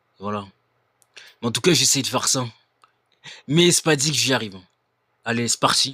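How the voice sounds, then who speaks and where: A man's bright, sharp tone at a moderate pace, broken by long, frequent pauses. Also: medium pitch for a man, ordinary pitch variation. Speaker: YouTuber reacting to videos. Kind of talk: live-streamed reaction commentary. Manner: hesitant, many fillers.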